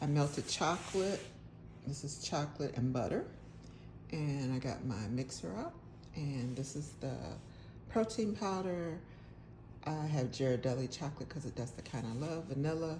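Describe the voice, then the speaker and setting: A woman with a very deep, low pitch and a dark, mellow tone speaks at a moderate pace with long, frequent pauses amid audible room echo. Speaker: cooking channel host. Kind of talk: cooking tutorial. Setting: home kitchen. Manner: loud. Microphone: phone mic, forgot lapel mic.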